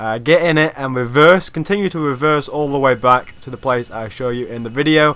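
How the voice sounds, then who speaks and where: Bright and sharp in tone, a man talks at medium pitch and a fairly quick pace. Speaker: gaming YouTuber. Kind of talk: game tutorial. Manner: fast.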